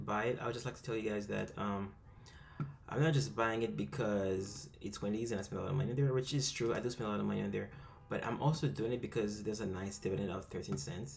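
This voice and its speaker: Amid audible room echo, a man with a fairly low pitch and vocal fry races along at a very fast pace, his pitch swinging very widely. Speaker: amateur investing youtuber. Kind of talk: screen-recorded tutorial. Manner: fast, rushed; hesitant, many fillers.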